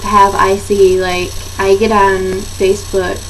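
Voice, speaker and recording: Audible room echo and noticeable background noise around a woman's speech with an American accent. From Michigan. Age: young. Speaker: vlogger with chronic pain. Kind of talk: casual chat.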